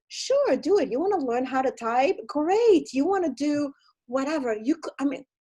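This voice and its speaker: A woman with an Italian accent speaks at a high pitch, swinging very widely up and down. Her tone is dark and mellow. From Italy. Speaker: film producer and entertainment consultant. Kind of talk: casual interview chat. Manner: animated.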